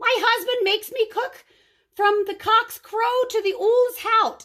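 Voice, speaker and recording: In a put-on character voice, the speaker bellows in a squeaky way at a fairly slow pace. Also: woman, extremely high pitch for a woman. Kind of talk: bedtime story. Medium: read story. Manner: roaring, frantic.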